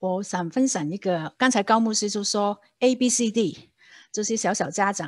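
A woman with a Hong Kong accent talks at a moderate pace with lively intonation against a quiet background. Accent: Hong Kong Cantonese accent in Mandarin. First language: Cantonese (speaking Chinese). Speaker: church lay leader teaching on discipleship. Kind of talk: church seminar talk. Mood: warm, storytelling. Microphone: video call.

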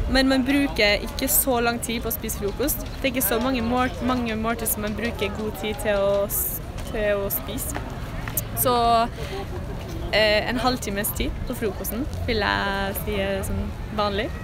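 A woman speaks at a fairly slow pace, with long, frequent pauses. The sound is dry with no echo, and clear music plays in the background. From Norway, Trondheim. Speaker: passerby interviewee. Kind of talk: street interview answer. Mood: relaxed, squinting in sun. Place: street. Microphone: phone near.

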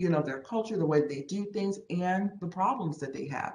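A woman's fairly low-pitched voice with ordinary pitch variation, some audible room echo and light background noise. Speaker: presenter. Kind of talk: meeting presentation. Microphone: video call.

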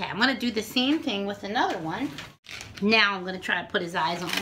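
Noticeable background noise sits under the recording. A woman's voice carries ordinary pitch variation. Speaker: balloon twisting teacher. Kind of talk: tutorial. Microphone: phone near.

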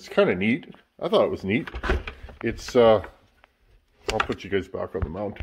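A man speaks at a fairly quick pace, breaking it with long, frequent pauses. His pitch swings very widely over noticeable background noise. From Canada. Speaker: sheet metal worker and chainsaw hobbyist YouTuber. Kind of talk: casual workshop talk to camera. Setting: home workshop. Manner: relaxed, filler-heavy.

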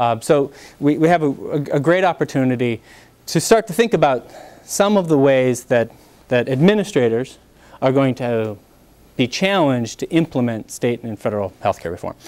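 Long, frequent pauses interrupt speech that otherwise keeps a moderate pace. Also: man. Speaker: panel moderator. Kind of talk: event introduction. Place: classroom.

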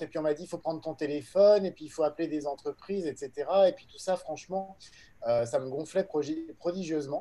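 A man talks at a fairly quick pace with a fairly high pitch. His loudness swings widely. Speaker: entrepreneur. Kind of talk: panel discussion. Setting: video call. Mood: relaxed, conversational. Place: home room. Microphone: video call.

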